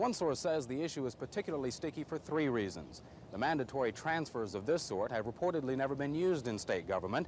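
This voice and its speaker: Over light background noise, a man talks at a very fast pace, the sound dry with no echo. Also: lively intonation, hardly any pauses. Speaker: TV news reporter. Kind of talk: news report stand-up. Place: street.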